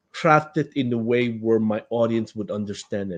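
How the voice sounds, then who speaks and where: A man with a non-native accent speaks at a fairly slow pace with ordinary pitch variation against a quiet background. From Philippines. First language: not English. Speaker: author. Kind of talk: interview. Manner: halting.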